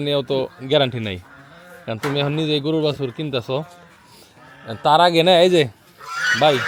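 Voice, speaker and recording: Noticeable background noise sits behind the voice. A man speaks at a fairly high pitch with ordinary pitch variation. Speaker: farm vlogger. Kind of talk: casual vlog narration.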